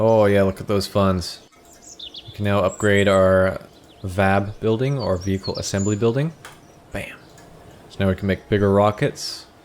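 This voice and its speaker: Long, frequent pauses break up fairly even intonation over noticeable background noise. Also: man. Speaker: gaming youtuber. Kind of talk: gameplay tutorial commentary. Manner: monotone.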